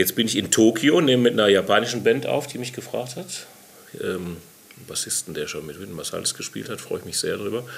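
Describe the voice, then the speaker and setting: Loudness swings widely as a man talks at a fairly quick pace. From Hamm, Westphalia, Germany. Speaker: jazz musician. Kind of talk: casual interview. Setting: studio.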